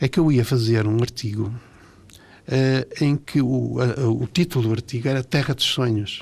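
A man's fairly slow, somewhat breathy voice at medium pitch, with very even loudness throughout. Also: ordinary pitch variation. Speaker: pediatric oncologist. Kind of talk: radio interview. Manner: halting.

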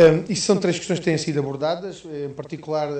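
Audible room echo surrounds a man's fairly high voice. He speaks at a fairly quick pace. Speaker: politician. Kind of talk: radio interview. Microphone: poor line.

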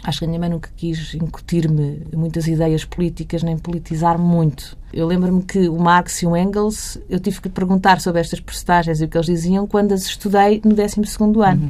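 Using an ordinary speaking voice, a woman talks at a fairly quick pace with fairly low pitch, fairly even intonation and hardly any pauses. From Portugal, Barreiro. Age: 40s. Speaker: journalist and editor. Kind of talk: interview.

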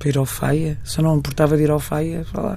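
Using vocal fry, a woman speaks very fast in a very deep, low voice. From Portugal, Marinha Grande and Porto. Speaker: fado singer. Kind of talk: interview. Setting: radio studio. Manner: halting.

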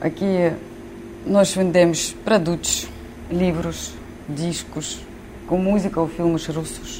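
Speech unfolds very slowly. Noise can be clearly heard behind it. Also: woman. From Ukraine. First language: Ukrainian or Russian (speaking Portuguese). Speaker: shop manager. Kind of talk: interview. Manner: halting.

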